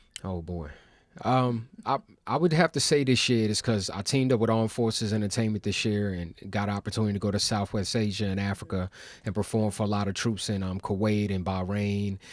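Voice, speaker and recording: A man with an American accent speaks in a plain, everyday voice. His pitch is fairly low, with ordinary pitch variation. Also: fairly quick pace. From Baltimore, US. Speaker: hip hop artist. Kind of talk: interview. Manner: casual, conversational.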